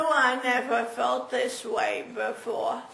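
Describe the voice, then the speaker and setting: A woman with a high pitch speaks very slowly, with noticeable background noise and audible room echo. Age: 80s+. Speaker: stroke patient. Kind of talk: testimony. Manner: halting.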